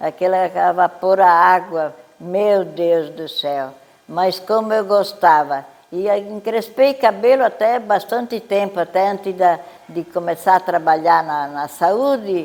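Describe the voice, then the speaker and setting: Fairly slow speech from a woman at medium pitch with ordinary pitch variation, plus noticeable background noise. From southern Brazil, Santa Catarina (Urussanga). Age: 90s. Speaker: elderly local resident. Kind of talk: life story interview.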